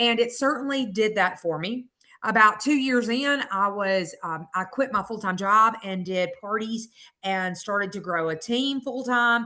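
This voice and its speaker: A woman speaks at a fairly slow pace with a Southern US accent and a bright, sharp tone. Her pitch is fairly high, with ordinary variation. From US South, Mississippi. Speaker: direct sales consultant. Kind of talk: sales pitch testimony.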